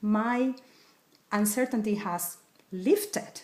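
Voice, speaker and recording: Here a woman talks with a Spanish accent. Her pitch is medium. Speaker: wellness coach. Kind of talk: tutorial.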